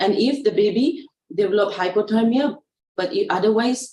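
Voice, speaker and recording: A woman's fairly high, somewhat breathy voice with a dark, mellow tone and ordinary pitch variation. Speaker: pediatric nurse trainer. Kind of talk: online training lecture. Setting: online session. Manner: fast; halting.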